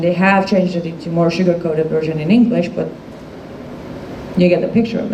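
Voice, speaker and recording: With a non-native accent, a woman speaks at a medium pitch with ordinary variation, and the recording has audible room echo and noticeable background noise. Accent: foreign. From Iran. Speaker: activist speaker. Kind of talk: public talk to a live audience. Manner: animated.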